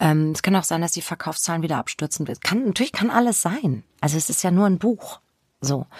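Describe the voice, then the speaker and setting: A woman talks at a fairly quick pace. The recording is very clean with a silent background and a dry, close sound with no echo. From Germany, Spessart (northern Bavaria). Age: 50s. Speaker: crime novelist. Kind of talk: interview conversation.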